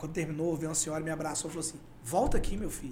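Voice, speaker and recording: A man talks at a very fast pace. Room echo is audible and background noise is noticeable. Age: 40s. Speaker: podcast guest, former election campaign worker. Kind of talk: casual interview chat. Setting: studio.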